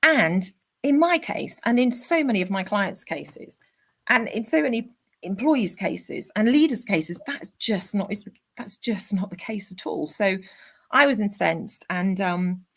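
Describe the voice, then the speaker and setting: At a moderate pace, a woman with a medium pitch speaks with lively intonation in a somewhat breathy voice. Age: 50s. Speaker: career coach. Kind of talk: interview conversation.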